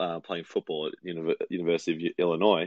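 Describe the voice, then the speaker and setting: A man with an Australian accent and a very deep, low pitch. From Melbourne, Australia. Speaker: police officer. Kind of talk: casual interview chat.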